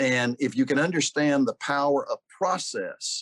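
This man has an ordinary speaking voice, pitched fairly high, with ordinary variation in pitch. The sound is dry and close with no echo, over a quiet background. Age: 60s. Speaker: pastor and church leadership consultant. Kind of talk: interview.

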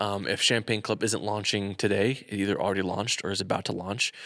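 In a normal speaking voice, a man talks at a fairly quick pace and a fairly low pitch, on a very clean recording with a silent background. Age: 20s. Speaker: podcast co-host and wedding videographer. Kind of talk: casual chat. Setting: echoey garage studio. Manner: casual, chatty, interrupts often.

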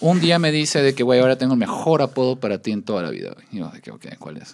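A man talks fairly quickly. His voice sits at a medium pitch. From Mexico, Baja California Sur (La Paz). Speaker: podcast guest. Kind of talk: casual chat.

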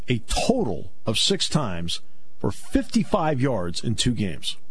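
A man's voice rises and falls across a very wide pitch range, with noticeable noise behind him. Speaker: radio sports talk host. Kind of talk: radio sports talk interview. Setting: radio studio.

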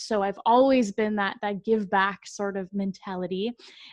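Against a quiet background, a woman speaks at medium pitch and a moderate pace with fairly even intonation, in an ordinary speaking voice. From Massachusetts, US. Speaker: mindset coach. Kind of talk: casual interview.

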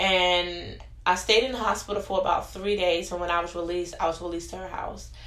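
Talking at a very fast pace with an American accent, a woman keeps a fairly low pitch and monotone, flat intonation amid audible room echo. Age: young. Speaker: podcast guest sharing personal story. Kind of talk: testimony.

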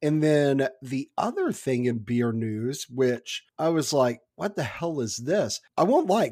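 Recorded dry and close with no echo, a man speaks fairly slowly in an ordinary speaking voice with ordinary pitch variation. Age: 30s. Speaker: podcast host. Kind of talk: casual chat.

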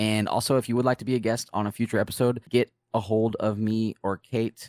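Recorded with a dry, close sound and no echo, a man with a fairly low pitch speaks at a moderate pace in an unremarkable speaking voice. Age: 20s. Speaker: gaming podcast host. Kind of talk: casual chat.

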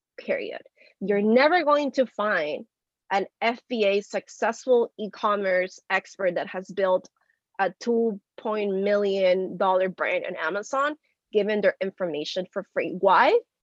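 A woman's medium-pitched voice with ordinary pitch variation at a very slow pace, dry and close with no echo. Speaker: media founder, entrepreneur. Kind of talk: interview, podcast conversation.

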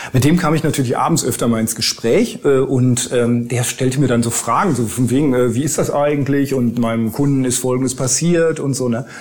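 Medium-pitched male speech at a fairly quick pace with ordinary pitch variation, over noticeable background noise. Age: 50s. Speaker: lawyer. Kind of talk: interview. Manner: hesitant with frequent fillers.

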